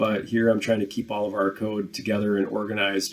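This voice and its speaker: A man's fairly low voice comes through in a monotone, flat intonation. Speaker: programming instructor. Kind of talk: tutorial. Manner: casual with filler words.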